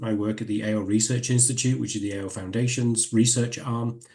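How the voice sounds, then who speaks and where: With a northern English accent, a man speaks at a medium pitch and a fairly quick pace, his somewhat breathy voice dark and mellow in tone with fairly even intonation. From northern England. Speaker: professor. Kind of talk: lecture.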